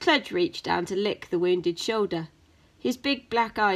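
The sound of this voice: The speaker reads in an unforced reading voice with ordinary pitch variation.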